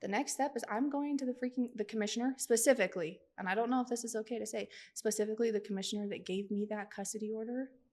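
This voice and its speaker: Speaking very fast with hardly any pauses, a woman keeps a fairly high pitch and fairly even intonation. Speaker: advocate for children and families, guest. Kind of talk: emotional podcast interview. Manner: forceful, stern.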